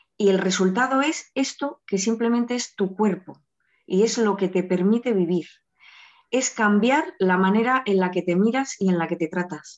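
A woman with a normal speaking voice, medium pitch, ordinary pitch variation and a moderate pace. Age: 30s. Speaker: eating disorder patient in recovery. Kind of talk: testimony.

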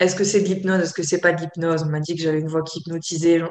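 In a monotone, flat intonation, a woman speaks at a fairly low pitch. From France, Côte d'Azur. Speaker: yoga teacher and therapist. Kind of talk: interview. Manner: hesitant, many fillers.

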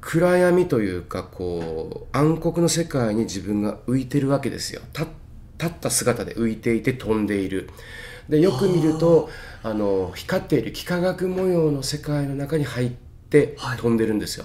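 Noticeable background noise accompanies a man speaking at a moderate pace and a fairly high pitch, his pitch swinging very widely. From Tokyo, Itabashi. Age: 50s. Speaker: healer. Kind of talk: interview. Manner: clear, easy to follow.

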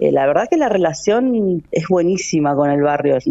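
A woman with a Rioplatense accent speaks at a fairly slow pace. Her pitch is fairly low and her intonation lively. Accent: Argentine Rioplatense Spanish. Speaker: cultural manager. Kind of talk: radio interview.

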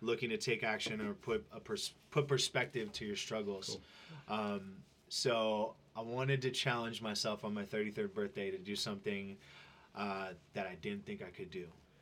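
A man talks at a moderate pace in a fairly low pitch with ordinary pitch variation. He has an ordinary speaking voice. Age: 30s. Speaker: fitness trainer and social media influencer. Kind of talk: casual interview.

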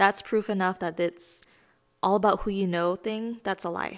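In a very clean recording with a silent background, a woman with a General American accent talks at a medium pitch and a moderate pace with monotone, flat intonation. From California. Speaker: podcast host, artist and creative entrepreneur. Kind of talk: instructional self-help lesson.

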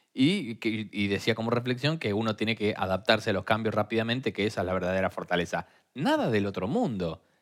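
A man with a Rioplatense accent talks at a fairly quick pace in a fairly low pitch. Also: ordinary pitch variation, very clean recording, silent background. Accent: Argentine Spanish (rioplatense). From Argentina. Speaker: podcast co-host. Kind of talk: casual chat.

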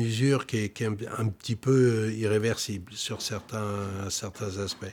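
A man speaks with ordinary pitch variation. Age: 60s. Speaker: flute maker. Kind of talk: documentary interview. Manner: halting, many repetitions.

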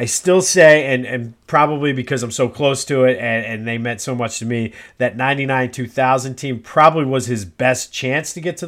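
Heard at a fairly quick pace with ordinary pitch variation, a plain, everyday voice comes through a very clean recording with a silent background. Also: man. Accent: American. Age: 40s. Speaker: sports podcaster. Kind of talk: casual solo podcast monologue.

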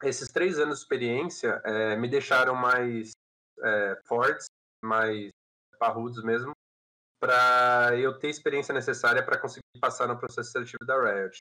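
A man's medium-pitched voice, bright and sharp in tone, with fairly even intonation at a moderate pace. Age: 20s. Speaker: game company employee. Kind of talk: podcast interview.

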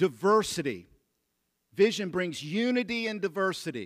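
A man talks loudly in a high voice. His intonation is lively. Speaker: pastor. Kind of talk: sermon. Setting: church.

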